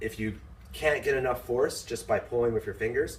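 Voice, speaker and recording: The man talks at a fairly slow pace. Background noise is noticeable. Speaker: fencing instructor. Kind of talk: unscripted tutorial talk to camera. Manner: rambling, hesitant.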